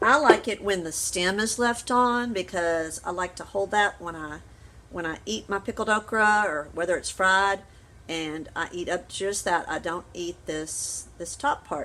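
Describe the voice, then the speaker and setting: In a Southern US accent, a woman talks at a fairly slow pace and medium pitch with ordinary pitch variation. The recording is very clean, with a silent background. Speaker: home canning vlogger. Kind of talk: cooking tutorial. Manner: casual, rambling.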